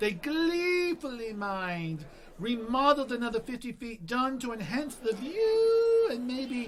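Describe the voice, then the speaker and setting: A put-on character voice sits at a fairly high pitch and moves at a moderate pace. Background noise is clearly audible. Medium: audio drama. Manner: flippant, chatty.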